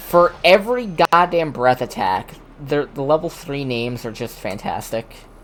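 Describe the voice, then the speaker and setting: The speaking pace is moderate. Noticeable background noise can be heard. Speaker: vtuber streamer. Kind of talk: casual chat. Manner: stutters.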